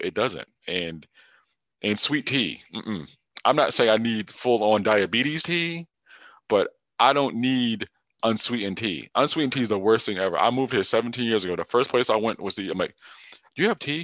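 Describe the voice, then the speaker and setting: A medium-pitched man with an American accent, lively intonation, a moderate pace with long, frequent pauses, and a dry, close sound with no echo against a quiet background. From US Northeast, Hartford, Connecticut. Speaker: podcast host. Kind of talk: casual chat.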